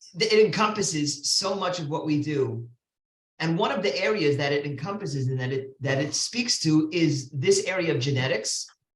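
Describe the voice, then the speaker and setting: A man speaks in a plain, everyday voice with an American accent, at a moderate pace and with ordinary pitch variation. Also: fairly high pitch for a man. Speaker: rabbi. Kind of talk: lecture.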